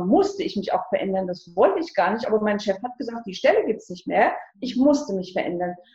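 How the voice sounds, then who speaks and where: A woman speaks in a dark, mellow tone. Her pitch swings very widely. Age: 60s. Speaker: life transition coach. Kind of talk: interview.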